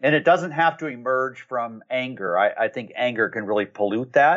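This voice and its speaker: With an unremarkable speaking voice, a man talks at a fairly quick pace, using a medium pitch and lively intonation. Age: 50s. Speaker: marketing agency consultant and author. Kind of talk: interview.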